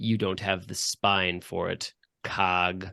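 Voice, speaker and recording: Put-on character voice from a man, very deep and low, at a very slow pace against a quiet background. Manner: cold, threatening.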